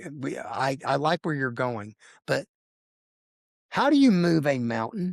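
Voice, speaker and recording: A man with a fairly high pitch speaks at a fairly slow pace with lively intonation. He leaves long, frequent pauses, and the sound is dry and close with no echo. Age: 60s. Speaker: health and fitness guest. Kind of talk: interview.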